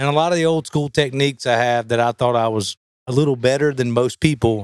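On a very clean recording with a silent background and a dry, close sound with no echo, a man speaks very fast with ordinary pitch variation. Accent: Southern US. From US South. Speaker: professional bass angler. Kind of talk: casual interview.

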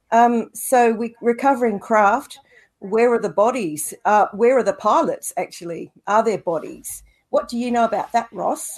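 Lively intonation marks this speech, delivered at a moderate pace. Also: woman, fairly high pitch for a woman. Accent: Australian. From Australia. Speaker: co-host. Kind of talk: interview. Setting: video call.

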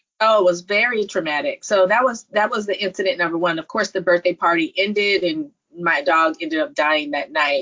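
With an American accent and a normal speaking voice, a woman talks at a fairly quick pace with lively intonation and hardly any pauses. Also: medium pitch for a woman. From California, Silicon Valley. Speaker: nurse practitioner and entrepreneur. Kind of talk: interview.

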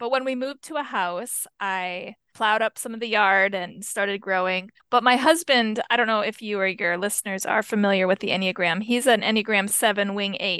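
Hardly pausing, a woman talks at a fairly quick pace in a bright, sharp tone and a fairly high pitch with ordinary pitch variation, recorded dry and close with no echo. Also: quiet background. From rural US. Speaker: author and chaplain. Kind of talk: interview.

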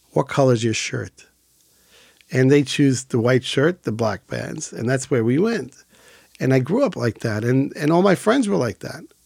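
In a dry, close recording with no echo, a man speaks at a moderate pace and medium pitch, with lively intonation and vocal fry. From Israel. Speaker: emergency medical service founder. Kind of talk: interview.

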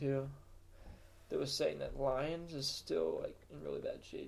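This man talks at a moderate pace. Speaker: weather forecaster podcast host. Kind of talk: casual chat.

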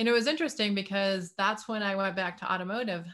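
A woman's plain, everyday voice at medium pitch, with an American accent, ordinary pitch variation and a quiet background. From US Midwest, Detroit area. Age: 50s. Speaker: inventor and healing practitioner. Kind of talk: interview.

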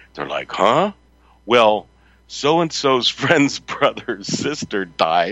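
At a very slow pace, a man with an American accent speaks at a medium pitch with very wide pitch swings and vocal fry. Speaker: radio host. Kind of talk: live talk radio show.

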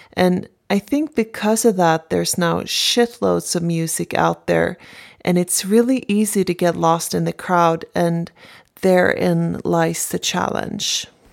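A woman with a Swedish accent at a fairly slow pace, in a very clean recording with a silent background. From Sweden, Stockholm. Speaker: singer-songwriter. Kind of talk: interview.

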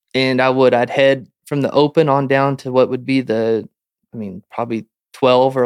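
A man speaks at a medium pitch with fairly even intonation in an unremarkable speaking voice. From Montana. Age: 30s. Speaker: professional rodeo roper. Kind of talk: casual interview.

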